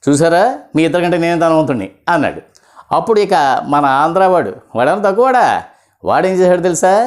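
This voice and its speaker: The speaker is a man. His pitch is high. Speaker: voice actor. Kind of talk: comedy jokes told to camera. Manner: casual, humorous.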